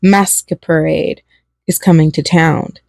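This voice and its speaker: A woman puts on a raspy character voice with a fairly low pitch. She speaks at a fairly slow pace in a monotone, flat way. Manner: reading aloud from a flyer.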